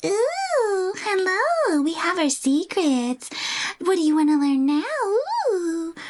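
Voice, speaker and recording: A put-on character voice at an extremely high pitch moves at a fairly slow pace over light background noise. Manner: teasing, coy.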